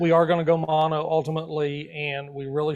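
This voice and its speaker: A man speaks with a fairly high pitch. His intonation is monotone and flat. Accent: Southern US. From Arkansas. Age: 60s. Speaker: astrophotographer. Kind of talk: interview. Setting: live video stream.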